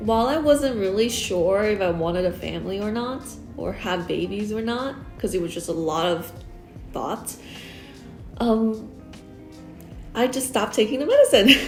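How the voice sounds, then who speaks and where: Music plays behind a woman with a fairly high pitch and ordinary pitch variation. She speaks at a moderate pace with long, frequent pauses. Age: 30s. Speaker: UX designer. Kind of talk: casual talk to camera.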